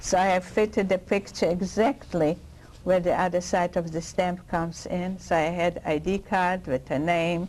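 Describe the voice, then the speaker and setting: A woman speaks with a Polish accent. Her pitch is fairly low. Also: moderate pace. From Poland (Lwow). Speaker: Holocaust survivor. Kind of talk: oral history interview answer.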